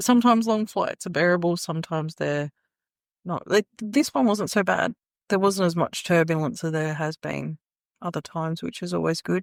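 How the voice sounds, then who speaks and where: Recorded very cleanly against a silent background, with a dry, close sound and no echo, a woman with an Australian accent talks at a moderate pace in a fairly low pitch with ordinary pitch variation. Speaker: podcast co-host. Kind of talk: casual chat. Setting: in person at an Airbnb living room.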